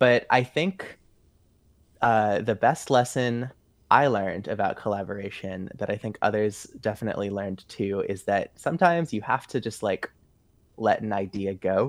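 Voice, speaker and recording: Behind the voice, the background stays quiet. The pitch varies in an ordinary way at a moderate pace. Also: man, fairly low pitch for a man. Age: 20s. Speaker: musician. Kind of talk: casual chat. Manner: halting.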